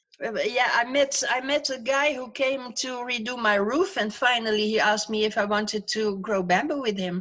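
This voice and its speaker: A woman speaks at a moderate pace with a fairly high pitch and ordinary pitch variation. She has hardly any pauses, and there is noticeable background noise. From Netherlands, Breda. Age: 70s. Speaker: grandmother, retired farmer. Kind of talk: casual interview. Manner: halting.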